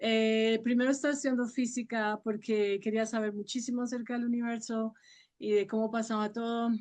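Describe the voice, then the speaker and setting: Against a quiet background, a woman with a fairly high pitch talks at a fairly quick pace in a monotone, flat intonation. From Colombia, Sogamoso, Boyacá. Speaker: actress and voice professor. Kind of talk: interview.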